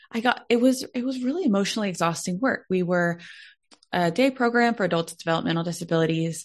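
With an American accent, a woman uses a normal speaking voice at medium pitch, with ordinary pitch variation and a fairly quick pace, over a quiet background. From Texas, Dallas. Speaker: Enneagram consultant and speaker. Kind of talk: podcast interview.

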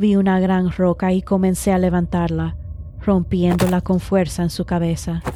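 A woman talks at a fairly slow pace. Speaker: podcast host and horror storyteller. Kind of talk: scripted horror story narration.

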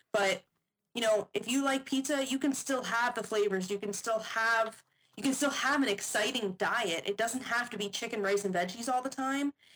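A woman talks at a moderate pace with ordinary pitch variation. Hers is a normal speaking voice. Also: fairly high pitch for a woman. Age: 20s. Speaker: fitness model and nutrition coach. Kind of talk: casual chat.

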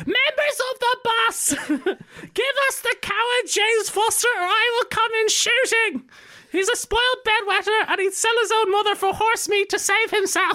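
A put-on character voice shouts at an extremely high pitch with a guttural edge. The pace is moderate. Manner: screaming, threatening.

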